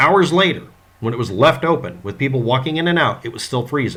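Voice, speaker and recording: A man at medium pitch speaks fairly quickly with a bright, sharp tone and vocal fry. His pitch swings very widely. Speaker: YouTuber discussing a true crime case. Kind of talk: monologue commentary. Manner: effortful, careful pronunciation.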